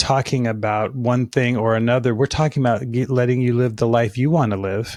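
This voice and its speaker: A man with an American accent and a normal speaking voice talks at a medium pitch and moderate pace with fairly even intonation. The recording is very clean, with a silent background. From Alaska and Colorado. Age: 60s. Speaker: fitness business consultant and author. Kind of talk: podcast interview.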